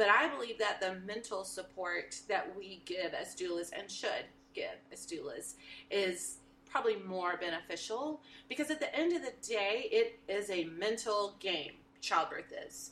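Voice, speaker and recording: With a Texan accent, a woman at medium pitch speaks at a fairly slow pace, her intonation lively and her loudness swinging widely. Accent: Texan American. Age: 50s. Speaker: birth doula. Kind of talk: casual interview.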